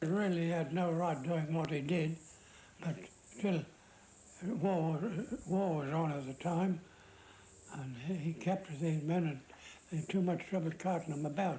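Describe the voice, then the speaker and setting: A man with an Australian accent speaks with long, frequent pauses. His pitch is high and his intonation fairly even. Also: moderate pace. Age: 80s+. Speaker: war veteran. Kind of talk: interview. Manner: halting.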